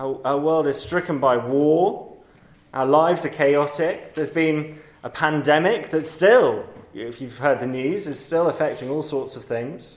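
Speaking with a London accent at a fairly slow pace, a man with a fairly high pitch is heard with audible room echo. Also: ordinary pitch variation. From London, England. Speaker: preacher. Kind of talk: sermon. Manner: hesitant, many fillers.

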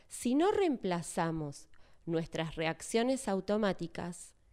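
In a Rioplatense accent, a woman speaks at a very slow pace with a fairly low pitch, a dark, mellow tone and lively intonation, recorded very cleanly against a silent background. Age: 40s. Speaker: church speaker. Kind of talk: sermon.

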